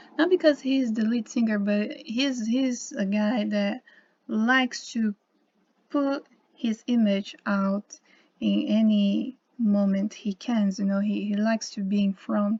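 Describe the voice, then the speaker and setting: A woman's somewhat breathy, dark, mellow voice sits fairly high in pitch, moving at a fairly slow pace in a dry, close recording with no echo. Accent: Portuguese. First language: Portuguese. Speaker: YouTuber on symbolism and gematria. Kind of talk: casual video monologue. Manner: halting, with many fillers and repetitions.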